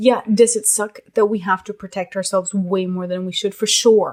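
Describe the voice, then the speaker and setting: Her pace is moderate and her intonation fairly even. The woman has an unremarkable speaking voice, medium in pitch. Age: 20s. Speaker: podcast guest. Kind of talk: casual chat.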